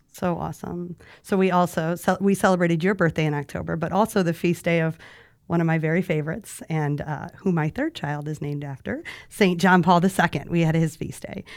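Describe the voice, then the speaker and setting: Over a very clean recording with a silent background, a woman uses a plain, everyday voice, fairly low in pitch and fairly even in intonation. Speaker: podcast host. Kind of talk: casual interview chat.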